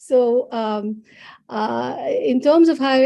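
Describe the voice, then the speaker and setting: In a Bengali accent, a woman speaks with a dark, mellow tone against a quiet background. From India. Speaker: psychologist. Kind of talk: interview. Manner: halting.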